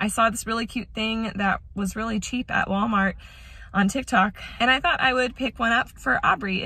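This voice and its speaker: A woman's fairly quick voice with ordinary pitch variation and a dry sound with no echo. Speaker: mom vlogger. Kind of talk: casual vlog chat. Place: car. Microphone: phone near.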